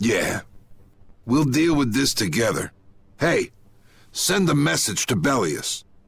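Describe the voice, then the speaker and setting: Doing a put-on character voice, a man speaks raspily at a fairly slow pace and medium pitch, with lively intonation, very even loudness and long, frequent pauses. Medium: video game. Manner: blunt, commanding.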